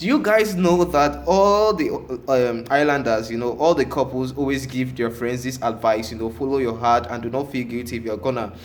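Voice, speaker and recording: Speaking at a moderate pace with hardly any pauses, a man of medium pitch has an animated tone, with audible room echo. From Africa. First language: French. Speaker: reality TV reviewer. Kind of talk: casual vlog commentary. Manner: halting, many fillers.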